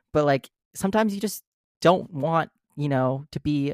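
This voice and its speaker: An ordinary speaking voice from a man with an American accent, lively in intonation, at a moderate pace, on a very clean recording with a silent background and a dry, close sound with no echo. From US Midwest, Minnesota. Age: 20s. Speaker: actor and artist. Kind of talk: casual chat.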